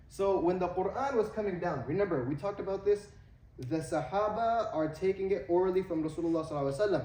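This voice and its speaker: A man's high-pitched voice with an American accent at a very fast pace, ordinary pitch variation, audible room echo and noticeable background noise. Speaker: Islamic teacher. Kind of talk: lecture. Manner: halting with fillers.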